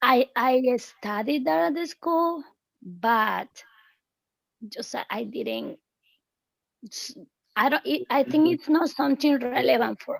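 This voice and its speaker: Speaking in a Spanish accent at a very slow pace, a woman with a high pitch uses lively intonation, big swings in loudness, and long, frequent pauses. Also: dry, close sound with no echo. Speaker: English teacher. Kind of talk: online English class.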